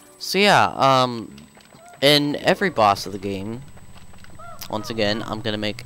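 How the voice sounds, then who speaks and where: Long, frequent pauses break up the lively intonation, with noticeable background noise behind the voice. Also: man, medium pitch for a man. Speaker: video game let's player. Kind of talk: gameplay commentary. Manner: casual, halting with fillers.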